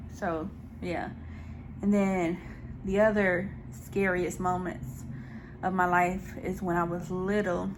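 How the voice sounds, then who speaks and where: Audible room echo follows a woman of medium pitch who speaks at a very slow pace with fairly even intonation and long, frequent pauses. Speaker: mukbang YouTuber. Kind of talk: casual Q&A while eating. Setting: home video recording with ring light.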